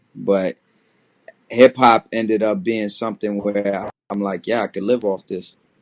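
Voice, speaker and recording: Flat, monotone intonation marks this man's fairly low-pitched voice, with an American accent. The sound is dry and close, with no echo. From Maryland / DC area, US. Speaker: rapper. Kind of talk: interview. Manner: halting, repeats words.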